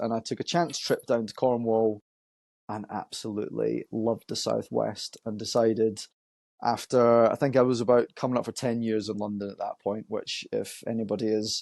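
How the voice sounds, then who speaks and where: Against a quiet background, a man with a Scottish accent speaks at a moderate pace in a dark, mellow tone, his intonation fairly even and the sound dry and close with no echo. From Scotland, Edinburgh. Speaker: marketing agency owner. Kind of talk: podcast interview. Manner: hesitant, many fillers.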